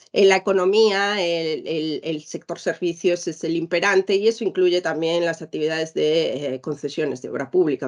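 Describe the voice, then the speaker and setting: A woman speaks at a moderate pace. Her voice is fairly low, with ordinary pitch variation. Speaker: lawyer / business panelist. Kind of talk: panel presentation. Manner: hesitant, many fillers and repetitions.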